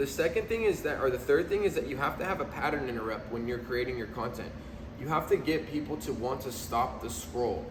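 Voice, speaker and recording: Over noticeable background noise and audible room echo, a man speaks at a fairly quick pace with medium pitch and lively intonation. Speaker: video marketing business founder. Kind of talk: casual vlog talk. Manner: casual, filler-heavy.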